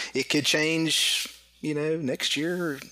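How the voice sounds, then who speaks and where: A man's speech comes with noticeable background noise behind it. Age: 40s. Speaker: competitive airgun shooter. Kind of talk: casual interview.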